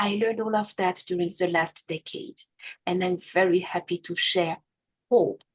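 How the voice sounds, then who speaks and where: Someone with a French accent speaks at a fairly slow pace with fairly even intonation, in a dry, close sound with no echo. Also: woman. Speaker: abuse survivor and podcast host. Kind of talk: testimony.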